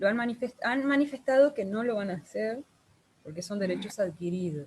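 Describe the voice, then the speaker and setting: Speech comes at a moderate pace with a Uruguayan accent and lively intonation. The voice is somewhat breathy. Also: woman. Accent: Uruguayan Rioplatense Spanish. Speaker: guest, social worker and real estate agent. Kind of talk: online group conversation.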